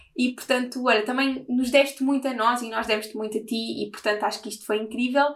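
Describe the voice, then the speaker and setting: A woman speaks at a very fast pace in a high pitch with monotone, flat intonation. Noticeable background noise runs behind her. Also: hardly any pauses. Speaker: podcast host. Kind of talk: casual interview.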